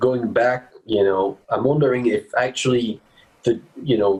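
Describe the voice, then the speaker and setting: A somewhat breathy man with a French accent. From France, Paris. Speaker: bass player. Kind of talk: interview. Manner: halting.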